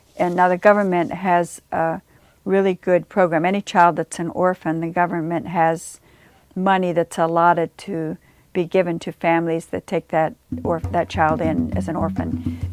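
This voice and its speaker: A woman with a Virginia accent speaks at a fairly low pitch and moderate pace, in monotone, flat intonation. The sound is dry and close with no echo, on a very clean recording with a silent background. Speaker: nun, missionary. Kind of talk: interview testimony. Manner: casual, conversational.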